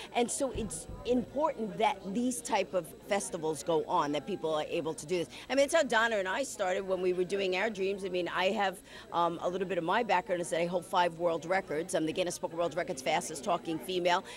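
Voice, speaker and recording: Over noticeable background noise, a woman talks at a fairly quick pace with hardly any pauses. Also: medium pitch for a woman, ordinary pitch variation. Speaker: TV talk show co-host. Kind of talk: casual interview. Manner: fast; animated.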